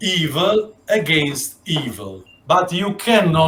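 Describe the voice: Pitch variation stays ordinary. The delivery is plain reading aloud.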